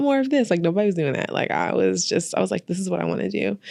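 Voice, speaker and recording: A woman with an American accent talks in a fairly low pitch, with noticeable background noise present. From Albany area, upstate New York. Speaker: podcast host. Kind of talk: casual interview chat.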